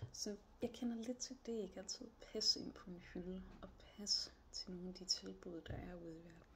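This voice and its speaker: At a fairly slow pace, a woman speaks at a medium pitch with vocal fry. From northern Jutland, Denmark (Aalborg area). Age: 30s. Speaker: job applicant. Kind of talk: job application video monologue. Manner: hesitant, many fillers.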